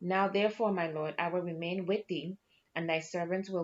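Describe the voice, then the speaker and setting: A woman's normal speaking voice, fairly low in pitch, with fairly even intonation at a moderate pace. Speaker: Bible study host and teacher. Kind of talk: scripture reading aloud. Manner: conversational, casual.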